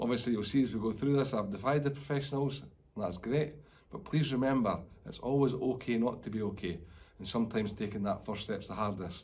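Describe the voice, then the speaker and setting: With a Scottish accent, a man talks at a very fast pace. His voice is somewhat breathy, and the room echo is audible. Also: medium pitch for a man, ordinary pitch variation. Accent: Scottish (Fife). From Scotland, Fife. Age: 40s. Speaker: retired police officer. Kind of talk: personal testimony. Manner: informal, conversational.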